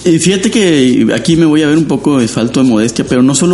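Over clearly audible background noise, a man talks with ordinary pitch variation. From Mexico, Matamoros, Tamaulipas. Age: 50s. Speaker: designer and illustrator. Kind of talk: interview.

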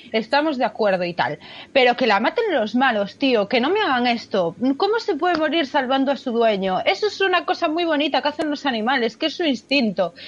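A woman speaks in a high voice at a fairly quick pace with hardly any pauses, her pitch swinging very widely while her loudness stays very even. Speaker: podcast co-host. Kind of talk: casual chat. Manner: expressive.

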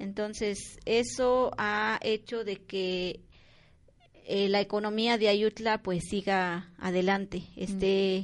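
Over a quiet background, a woman with a medium pitch speaks very slowly and with fairly even intonation. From Mexico, Oaxaca (Mixe region). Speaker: community centre volunteer. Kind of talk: interview.

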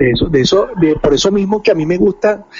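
Over noticeable background noise, a man with a Venezuelan accent talks with lively intonation. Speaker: podcast co-host. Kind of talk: casual chat.

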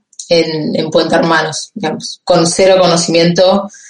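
Her fairly low pitch stays monotone and flat as the woman talks at a moderate pace. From Argentina, Campana (Buenos Aires province). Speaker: economist working in finance. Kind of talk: interview. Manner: halting.

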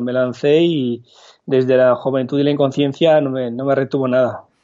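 A man's fairly high voice, monotone and flat, at a moderate pace. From France. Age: 30s. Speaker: tech startup founder and CEO. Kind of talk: interview. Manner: halting.

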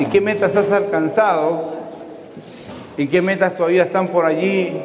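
Fairly slow, fairly even speech with audible room echo and noticeable background noise. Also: man. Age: 60s. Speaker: pastor. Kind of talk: sermon.

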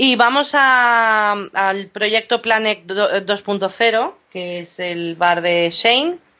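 Delivered at a very slow pace with hardly any pauses, the speech has ordinary pitch variation and big swings in loudness. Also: woman, fairly high pitch for a woman. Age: 40s. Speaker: podcast host. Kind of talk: casual chat.

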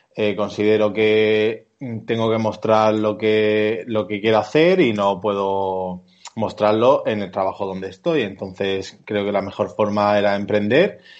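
A man with an unremarkable speaking voice talks at a fairly slow pace, his fairly low pitch held in fairly even intonation. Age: 30s. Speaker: architect, studio co-founder. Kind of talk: interview.

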